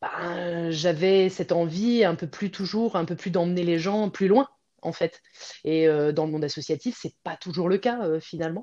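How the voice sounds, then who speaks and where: Against a quiet background, a woman speaks at a moderate pace. Her pitch is fairly low, with ordinary variation. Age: 40s. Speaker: pilates teacher and former professional dancer. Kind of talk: interview. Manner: hesitant, many fillers.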